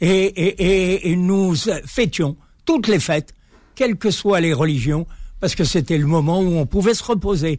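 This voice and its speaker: Pitch varies in an ordinary way while the pace stays very slow. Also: man. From Algeria (Algiers, pied-noir). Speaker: author and builder. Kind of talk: radio interview. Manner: halting.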